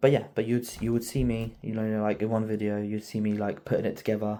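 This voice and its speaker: At a very fast pace, a man speaks with a dark, mellow tone, fairly low pitch and fairly even intonation. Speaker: car project youtuber, qualified mechanic. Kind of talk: casual video outro. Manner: halting, filler-heavy; quiet.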